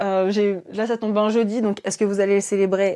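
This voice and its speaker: At a fairly quick pace, the speech comes through over a quiet background. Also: woman. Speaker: esoteric livestreamer. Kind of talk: casual live stream chat. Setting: live stream. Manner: hesitant with many fillers.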